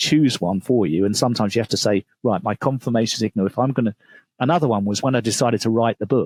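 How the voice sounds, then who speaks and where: This man has a medium-pitched voice, an English accent and lively intonation. The sound is dry and close, with no echo. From England. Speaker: author and business coach. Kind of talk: podcast interview.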